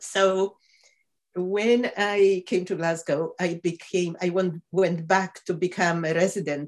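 A woman with a Polish accent is speaking. Her pitch is fairly low and her pace fairly slow. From Poland. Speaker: professor of medicine. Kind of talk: interview.

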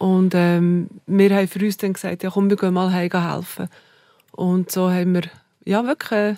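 In a Bernese accent, a woman speaks with monotone, flat intonation, a dark, mellow tone and medium pitch, in a dry, close sound with no echo on a very clean recording with a silent background. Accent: Bernese Swiss German. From Bernese Oberland, Switzerland. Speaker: hotelier. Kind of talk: interview conversation.

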